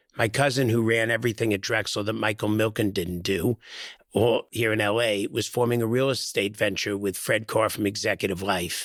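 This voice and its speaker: Speaking at a moderate pace in a New York accent, a man with a fairly low pitch keeps a monotone, flat intonation in a very clean recording with a silent background. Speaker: real estate executive. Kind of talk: podcast interview.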